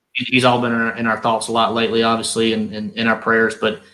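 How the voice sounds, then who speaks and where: In a Southern US accent, a man talks at a medium pitch. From North Carolina. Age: 30s. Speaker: professional bass angler. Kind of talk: casual interview.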